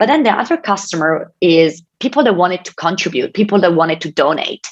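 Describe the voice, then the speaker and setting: With an Italian accent, the speaker talks at a moderate pace using lively intonation. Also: woman. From Italy. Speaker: tech company innovation advisor. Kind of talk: keynote speech. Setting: online event with presentation slides.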